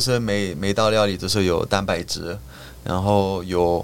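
This man has a fairly low pitch. Background noise is noticeable. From French Caribbean. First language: French. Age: 30s. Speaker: model and TV host. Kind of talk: casual chat.

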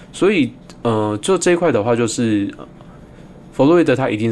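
A man speaks with a Taiwanese accent. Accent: Taiwanese Mandarin. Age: 30s. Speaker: podcast host, psychologist. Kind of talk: casual solo monologue on psychology.

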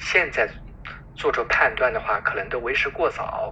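Clear background noise is present. Over it, a man talks at a moderate pace. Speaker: physician. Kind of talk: interview.

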